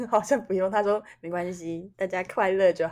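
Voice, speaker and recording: A woman speaks with an ordinary speaking voice at a medium pitch. Her pace is moderate. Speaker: podcast co-host. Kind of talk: casual chat.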